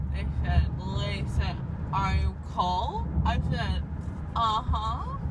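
Loud noise fills the background as a woman speaks. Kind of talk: slurred drowsy rambling chat. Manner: slow, slurred, dreamy rambling. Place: car. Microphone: phone near.

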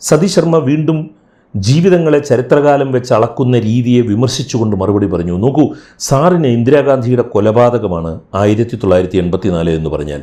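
A man's medium pitch and dark, mellow tone, with very wide pitch swings. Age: 60s. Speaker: podcast host. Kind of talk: storytelling narration. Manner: measured, pausing.

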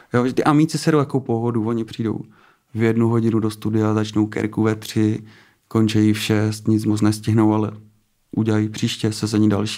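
A man's dark, mellow voice, flat and monotone, with very even loudness against a quiet background. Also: fairly low pitch for a man, fairly quick pace. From Czechia, Třinec (Moravian-Silesian region); Moravian-Silesian region, Czechia. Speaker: tattoo artist; guest. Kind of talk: interview. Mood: relaxed, reflective. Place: studio. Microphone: studio mic.

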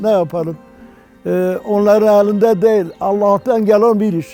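A man's high-pitched voice at a fairly slow pace, fairly even intonation, music in the background. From Van, eastern Turkey. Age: 80s+. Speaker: villager. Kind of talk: interview answer.

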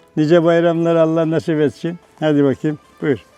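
A man at a fairly high pitch and moderate pace, fairly even in intonation, with music in the background. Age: 70s. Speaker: tailor and tea house keeper. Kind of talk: interview answer.

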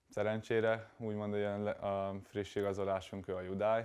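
A man's fairly low voice at a fairly quick pace, flat and monotone in intonation. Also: quiet background. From Hungary, Kecskemét; Hungary. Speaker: volleyball player; guest. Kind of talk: studio interview. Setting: TV studio. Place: studio.

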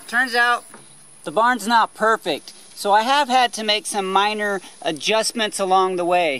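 A man uses a raised, projected voice with a bright, sharp tone, speaking at a moderate pace with ordinary pitch variation in a dry sound with no echo. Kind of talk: casual tutorial vlog. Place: open country. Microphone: phone near.

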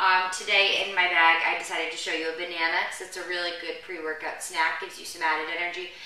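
The speech comes at a very fast pace, with audible room echo. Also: woman. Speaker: fitness host. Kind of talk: casual vlog chat. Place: home room. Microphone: camera far.

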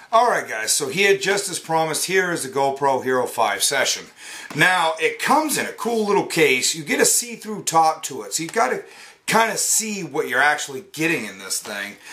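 A man at a moderate pace, with big swings in loudness. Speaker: product reviewer. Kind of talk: casual unboxing review. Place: home room. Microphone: phone near.

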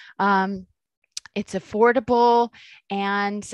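A woman with an American accent and ordinary pitch variation, dry with no echo, over a quiet background. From United States. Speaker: professor and university dean. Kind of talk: webinar presentation. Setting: video call. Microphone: webcam.

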